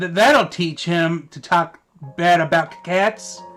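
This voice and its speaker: A man speaks in a put-on character voice, high in pitch and at a fairly slow pace. Faint music plays in the background. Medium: read story. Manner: stammering, nervous.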